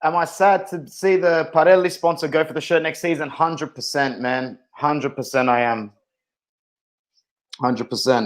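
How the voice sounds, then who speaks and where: Speaking with an Australian accent, a man uses a fairly high pitch and ordinary pitch variation. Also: moderate pace. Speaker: football fan streamer. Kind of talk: live watch-along stream. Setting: live stream. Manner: animated.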